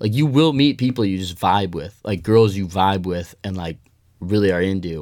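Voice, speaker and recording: A man with an American accent talks fairly quickly in an ordinary speaking voice, his pitch fairly low and its variation ordinary. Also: very clean recording, silent background. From Colorado (Denver). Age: 20s. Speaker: college student, fraternity member. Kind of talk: casual chat.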